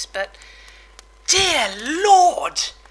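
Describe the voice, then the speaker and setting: A woman's voice swings very widely in pitch against noticeable background noise. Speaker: video game commentator.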